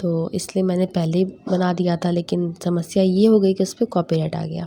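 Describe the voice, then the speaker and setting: The voice is quiet and somewhat breathy, with a dark, mellow tone. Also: woman. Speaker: home vlogger. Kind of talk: vlog voice-over. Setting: at home, family present. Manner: subdued, quiet.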